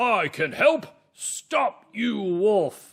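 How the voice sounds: This is a put-on character voice at a fairly high pitch.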